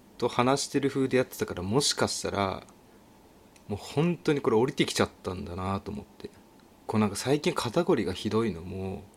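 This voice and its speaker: This man speaks fairly quickly at a medium pitch, with very wide pitch swings and big swings in loudness. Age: 30s. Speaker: podcast host. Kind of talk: casual solo talk. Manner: animated.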